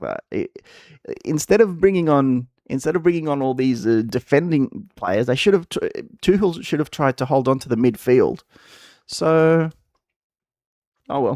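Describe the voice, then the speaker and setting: A man with an Australian accent, lively intonation, and a dry, close sound free of echo. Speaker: gaming streamer. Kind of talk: casual live-stream chat. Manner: halting, many fillers and repeats.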